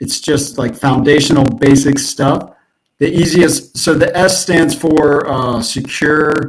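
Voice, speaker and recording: A man speaks at a very slow pace with a fairly high pitch and a somewhat breathy voice. His intonation stays fairly even. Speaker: SEO consultant. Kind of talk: presentation. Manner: halting, many fillers.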